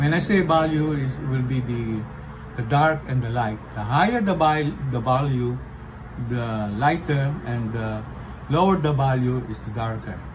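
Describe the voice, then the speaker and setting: Over noticeable background noise, a man speaks at a fairly slow pace with long, frequent pauses, his medium pitch showing ordinary variation. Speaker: portrait artist. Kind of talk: art tutorial explanation. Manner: casual, hesitant with fillers.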